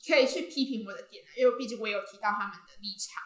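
This is a woman with a plain, everyday voice. Her pitch is fairly high, with ordinary variation. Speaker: university student and social media creator. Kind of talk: casual interview.

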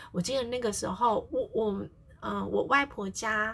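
A woman's fairly high-pitched voice with vocal fry. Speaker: family therapist and podcast host. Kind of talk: casual solo podcast talk. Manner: frequent fillers, conversational pace.

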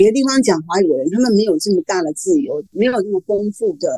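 A woman speaks at a medium pitch with a dark, mellow tone and very wide pitch swings. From Taiwan. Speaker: novelist. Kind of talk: interview.

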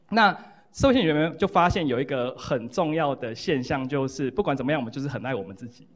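Over a quiet background, a man of medium pitch talks at a very fast pace with lively intonation and big swings in loudness. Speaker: psychology professor, book co-author. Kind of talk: lecture and Q&A at book launch. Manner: repetitive fillers, halting.

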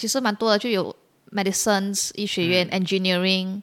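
In a very clean recording with a silent background, a woman uses an ordinary speaking voice at medium pitch with fairly even intonation. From Malaysia, Penang. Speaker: PhD researcher and incoming lecturer. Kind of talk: casual interview.

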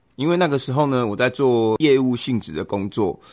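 A man talks at a fairly quick pace with a Taiwanese accent. The background is quiet. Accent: Taiwanese Mandarin. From Taiwan, Kaohsiung. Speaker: podcast host, father. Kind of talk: casual chat.

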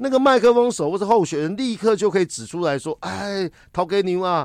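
Very wide pitch swings mark a man's fairly quick speech. The recording is very clean with a silent background, dry and close with no echo. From Taiwan. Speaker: political commentator and lecturer. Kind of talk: casual interview.

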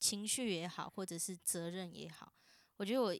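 A woman with a plain, everyday voice, medium in pitch with ordinary pitch variation, at a moderate pace, in a very clean recording over a silent background. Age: 20s. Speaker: university student. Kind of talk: casual family chat.

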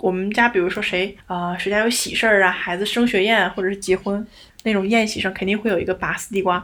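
The speaker talks at a very fast pace in a monotone, flat intonation. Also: woman, medium pitch for a woman. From Northeast China. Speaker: podcast co-host. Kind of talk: casual chat.

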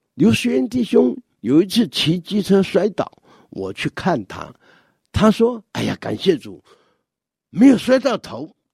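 The voice moves at a fairly slow pace with very wide pitch swings, big swings in loudness and long, frequent pauses, the sound dry and close with no echo. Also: man, high pitch for a man. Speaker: church elder giving a devotional talk. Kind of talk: scripted devotional talk.

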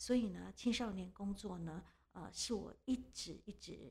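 A dark, mellow tone with vocal fry comes through at a fairly slow pace. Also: woman. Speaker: social welfare institution director. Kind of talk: interview. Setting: studio. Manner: hesitant, many fillers.

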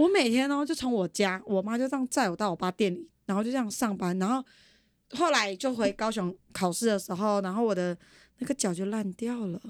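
A woman with a normal speaking voice talks at a fairly quick pace with lively intonation and fairly high pitch, in a dry, close sound with no echo on a very clean recording with a silent background. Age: 20s. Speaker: podcast guest. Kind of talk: casual chat.

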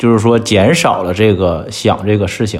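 Medium-pitched male speech in a plain, everyday voice, moderate pace, ordinary pitch variation. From China. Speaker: entrepreneur. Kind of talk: casual chat.

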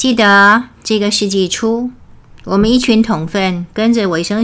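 Ordinary pitch variation at a very slow pace. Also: woman. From Taiwan. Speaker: religious lecturer. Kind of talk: memorial lecture.

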